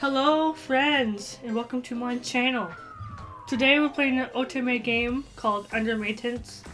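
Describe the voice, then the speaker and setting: Music plays behind a woman with a high-pitched voice. She talks fairly slowly with fairly even intonation. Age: 20s. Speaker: gaming YouTuber. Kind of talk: gameplay commentary with reading aloud.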